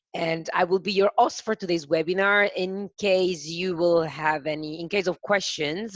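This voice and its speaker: A woman's fairly low voice with an Italian accent, fairly even intonation, and a dry, close sound with no echo. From Italy. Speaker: webinar host, software presenter. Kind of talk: product webinar presentation. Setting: online webinar on Zoom. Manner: slow, careful; hesitant with fillers.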